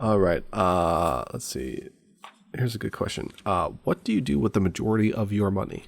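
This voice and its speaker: Vocal fry runs through this man's fairly low voice. He moves at a moderate pace with lively intonation. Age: 30s. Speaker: podcast co-host. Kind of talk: casual chat.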